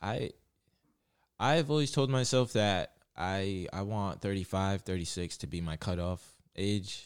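With lively intonation and a fairly low pitch, a man speaks at a fairly slow pace with long, frequent pauses on a very clean recording with a silent background. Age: 20s. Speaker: amateur MMA fighter. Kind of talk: casual interview chat. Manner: relaxed, many fillers.

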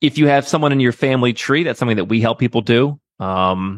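A man with an American accent speaks in a plain, everyday voice at a fairly quick pace, with ordinary pitch variation and a dry, close sound with no echo. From US Midwest. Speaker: entrepreneur advising on second passports and relocation. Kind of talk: interview.

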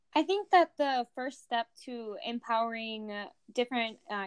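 A woman with an American accent speaks at a fairly slow pace in an ordinary speaking voice, her pitch fairly high with ordinary variation. The sound is dry and close with no echo, over a quiet background. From rural US. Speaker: agriculture education student. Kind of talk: casual interview.

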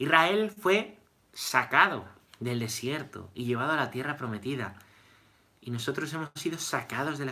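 The intonation is lively, at a moderate pace. The tone comes across bright and sharp. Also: man. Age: 30s. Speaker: priest. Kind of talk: catechesis lecture. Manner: repetitive, conversational.

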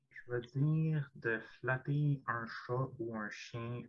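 Ordinary pitch variation in a Quebec accent. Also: man. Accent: Québécois French. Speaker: podcast guest. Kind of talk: casual chat.

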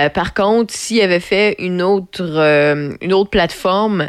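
A woman with a Quebec accent speaks at a fairly low pitch. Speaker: radio host. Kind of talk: casual radio chat. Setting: radio studio.

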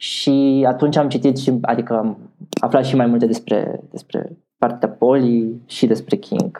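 At a fairly slow pace, a man speaks in a normal speaking voice at medium pitch with fairly even intonation. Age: 20s. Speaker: LGBTQ activist. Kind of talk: interview.

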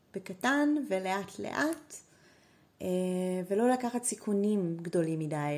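This woman talks at a medium pitch. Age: 30s. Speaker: fashion designer. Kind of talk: interview.

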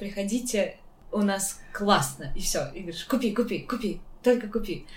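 Over audible room echo, a woman sounds somewhat breathy and speaks at a moderate pace. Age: 20s. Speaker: podcast host. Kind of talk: casual chat.

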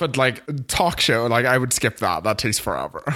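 A man talks in a normal speaking voice at a medium pitch and fairly quick pace. The recording is very clean with a silent background. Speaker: podcast co-host. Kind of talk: casual chat.

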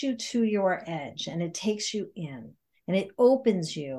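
Over a quiet background, a woman speaks at a medium pitch with an American accent. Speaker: podcast guest, yoga teacher and intuitive life coach. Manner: fast talker.

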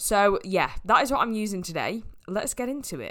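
A woman speaks in a northern English accent at medium pitch and a moderate pace. Her intonation is lively, and the recording is very clean with a silent background. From northwest England. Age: 20s. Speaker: podcast host, fitness coach. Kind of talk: casual solo podcast monologue.

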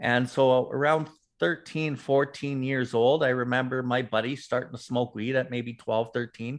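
A man with a Canadian accent has an ordinary speaking voice, a medium pitch and a moderate pace. His intonation is fairly even, and the background is quiet. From Calgary, Alberta, Canada. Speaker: recovered drug addict, recovery advocate. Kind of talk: interview, personal testimony.

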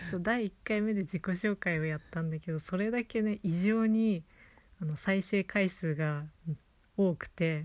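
A cheerful tone with a slight Hokkaido accent, fairly slow pace and ordinary pitch variation, in a very clean recording with a silent background. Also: woman, medium pitch for a woman. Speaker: podcast host teaching Japanese. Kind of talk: casual chat. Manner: cheerful, laughing often.

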